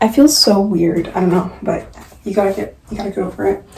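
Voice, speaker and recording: The speech comes at a fairly quick pace. Noticeable background noise is present. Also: woman. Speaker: lifestyle vlogger. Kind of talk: try-on haul vlog. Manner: casual, filler-heavy.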